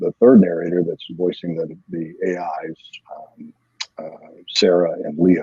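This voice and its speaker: At a moderate pace, the words come in a dry, close sound without any echo. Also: man. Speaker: novelist. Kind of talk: casual interview. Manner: halting, many fillers.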